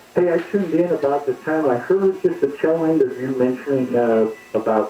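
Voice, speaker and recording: A man speaks with an American accent. Music plays in the background. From Utah, US (Salt Lake City). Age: 60s. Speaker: caller. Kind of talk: call-in radio conversation, personal story.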